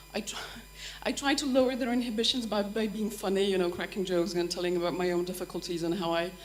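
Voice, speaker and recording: Noticeable background noise accompanies a woman talking at a very fast pace. Her medium pitch shows ordinary variation. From Poland. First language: Polish. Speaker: language teacher at a university. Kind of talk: workshop discussion. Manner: halting, many false starts.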